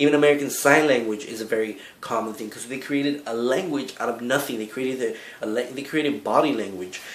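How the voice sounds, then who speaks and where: Here a man speaks at a medium pitch and a fairly quick pace. Noticeable background noise and audible room echo fill the recording. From Cuba, raised in the United States from a young age. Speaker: video blogger. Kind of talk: vlog monologue. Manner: halting, with self-corrections.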